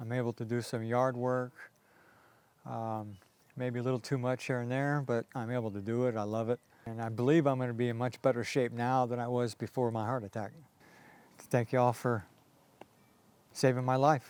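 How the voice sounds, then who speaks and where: Speaking at a moderate pace with long, frequent pauses, a man at medium pitch keeps his intonation monotone and flat. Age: 60s. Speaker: patient. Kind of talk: testimony. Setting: at home. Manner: halting.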